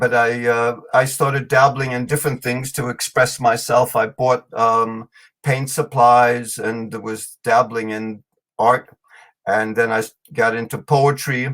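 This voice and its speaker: A man with a German accent speaks at a fairly slow pace. His medium-pitched voice stays monotone, with flat intonation. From New York City. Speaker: storyteller and author. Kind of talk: podcast interview. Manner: hesitant, many fillers.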